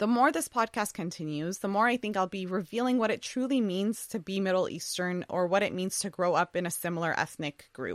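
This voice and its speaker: A woman with an unremarkable speaking voice talks at a medium pitch with ordinary pitch variation and hardly any pauses. The sound is dry and close with no echo, in a very clean recording with a silent background. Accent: American. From US, Assyrian family from Iraq. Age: 20s. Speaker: podcast host. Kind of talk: monologue.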